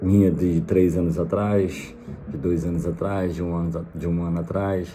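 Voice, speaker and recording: With a Rio de Janeiro accent, the speaker goes at a fairly slow pace with fairly even intonation, and audible room echo surrounds the voice. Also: man. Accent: Brazilian Portuguese, carioca. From Brazil, Rio de Janeiro. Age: 30s. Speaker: vlogger, immigrant. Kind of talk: casual vlog monologue. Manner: hesitant, many fillers.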